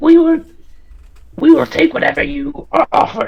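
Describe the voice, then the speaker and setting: The pitch is extremely high in this put-on character voice. Its pace is moderate. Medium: actual play. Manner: casual, halting.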